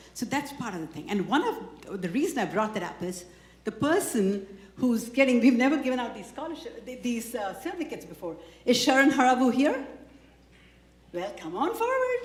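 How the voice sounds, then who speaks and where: A woman's high voice at a fairly quick pace, with very wide pitch swings and big swings in loudness, amid audible room echo and noticeable background noise. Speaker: community organization leader presenting awards. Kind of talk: award ceremony speech. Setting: stage with audience.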